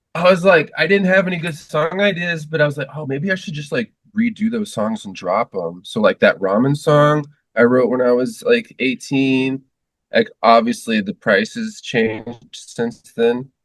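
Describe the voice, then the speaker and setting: Somewhat breathy, a man's fairly high voice moves through very wide pitch swings. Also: moderate pace. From US, moved around (Texas, Florida, New Hampshire). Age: 40s. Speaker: musician. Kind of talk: casual interview chat.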